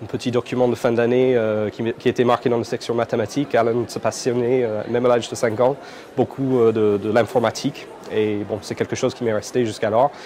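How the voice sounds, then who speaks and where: A man with an Irish accent and medium pitch talks at a fairly quick pace in a monotone, flat intonation over noticeable background noise. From Ireland, Dublin. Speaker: computing education entrepreneur. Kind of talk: interview. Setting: conference. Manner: hesitant, many fillers and repetitions.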